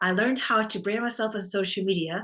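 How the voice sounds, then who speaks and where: A fairly quick pace with a Vietnamese accent against a quiet background. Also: woman. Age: 40s. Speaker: optometrist. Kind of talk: interview.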